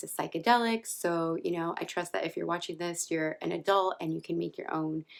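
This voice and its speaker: A soft-spoken voice at a fairly quick pace on a very clean recording with a silent background. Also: woman. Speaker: vlogger. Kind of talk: personal storytelling vlog. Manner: soft-spoken, talking low.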